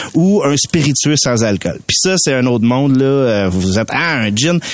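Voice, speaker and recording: In a normal speaking voice, the speaker keeps a moderate pace and very even loudness while the intonation stays lively. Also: man. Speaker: mixologist. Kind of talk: tutorial.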